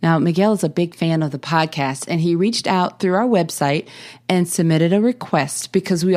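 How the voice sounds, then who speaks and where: The recording is very clean, with a silent background. A woman with a fairly low voice speaks at a moderate pace. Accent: Southern US. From US South. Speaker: podcast host. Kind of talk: podcast introduction monologue. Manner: casual with frequent fillers and repetitions.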